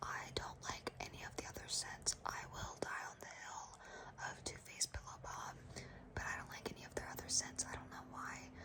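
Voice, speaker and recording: A woman whispering at a moderate pace, with noticeable background noise. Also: big swings in loudness. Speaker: ASMR content creator. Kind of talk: ASMR whisper ramble, personal attention. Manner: whispered, soft-spoken, rambling.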